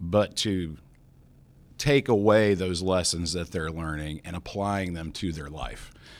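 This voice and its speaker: On a very clean recording with a silent background, a man with an American accent uses an unremarkable speaking voice, ordinary pitch variation and a fairly slow pace. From West Virginia. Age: 40s. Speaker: foundation president. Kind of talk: interview.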